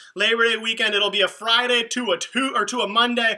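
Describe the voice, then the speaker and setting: A man with a high, raised, projected voice and an animated tone, at a fairly quick pace over noticeable background noise. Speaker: youth ministry leader. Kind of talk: livestream announcements. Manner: fast.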